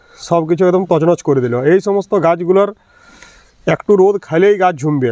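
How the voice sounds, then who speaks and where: A man at high pitch with ordinary pitch variation, in a dry, close sound with no echo. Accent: strong West Bengal. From Bankura, West Bengal, India. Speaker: gardening YouTuber. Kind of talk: casual vlog tutorial.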